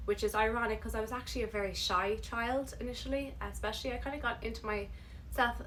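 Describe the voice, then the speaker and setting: A woman's very fast speech in an Irish accent, with noticeable background noise and audible room echo. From Ireland, Galway. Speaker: vlogger and actress. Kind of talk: casual vlog talk.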